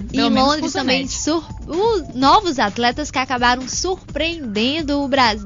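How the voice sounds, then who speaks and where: Music plays in the background as a woman speaks at a high pitch. Her pace is moderate and her pitch varies in an ordinary way. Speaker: radio sports presenter. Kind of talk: radio sports show hosting.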